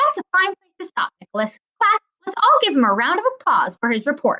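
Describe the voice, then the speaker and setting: In a put-on character voice, a woman squeaks at an extremely high pitch with very wide pitch swings at a fairly quick pace. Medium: read story. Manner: firm, schoolmarmish.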